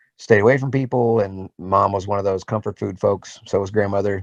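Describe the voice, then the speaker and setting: Man with a normal speaking voice, fairly low in pitch, at a fairly quick pace, in a dry, close sound with no echo. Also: quiet background. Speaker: voice actor. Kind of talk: interview answer.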